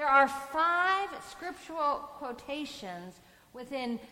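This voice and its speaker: A woman projects a raised voice, high in pitch and making very wide pitch swings. Audible room echo and noticeable background noise fill the recording. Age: 50s. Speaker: priest. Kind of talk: sermon.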